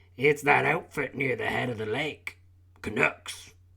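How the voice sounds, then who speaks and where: A put-on character voice, raspy and at a fairly slow pace. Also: man. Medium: read story. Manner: easygoing, chatty.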